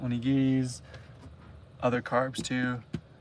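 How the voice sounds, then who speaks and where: A man with a Canadian accent and a medium pitch. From Canada. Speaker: travel vlogger. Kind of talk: live stream chat. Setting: inside a camper van. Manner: casual, hesitant with fillers.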